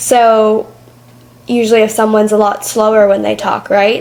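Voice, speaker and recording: A woman's fairly high voice with an American accent, monotone and flat, at a moderate pace amid noticeable background noise. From Michigan, Metro Detroit. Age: 20s. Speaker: podcast host and public speaker. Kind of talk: interview conversation. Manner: loud.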